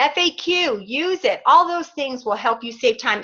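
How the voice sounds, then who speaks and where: Over a quiet background, a woman uses a raised, projected voice with a bright, sharp tone, very wide pitch swings and a fairly slow pace. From New York. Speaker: fitness business coach. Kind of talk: team training call.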